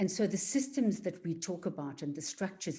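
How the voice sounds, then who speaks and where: A woman's dark, mellow voice with a South African accent, at a moderate pace, on a very clean recording with a silent background. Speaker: equality and diversity facilitator. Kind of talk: workshop presentation.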